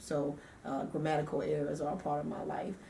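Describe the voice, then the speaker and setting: A woman with a very deep, low pitch speaks through audible room echo and noticeable background noise. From US South, Savannah, Georgia. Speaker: radio DJ and nonprofit founder. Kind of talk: interview.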